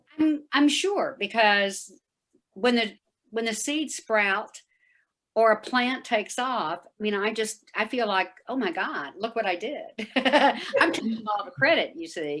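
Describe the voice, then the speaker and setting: This woman has a plain, everyday voice. Her pitch sits fairly high. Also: fairly slow pace. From Texas. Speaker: event participant. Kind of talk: casual chat.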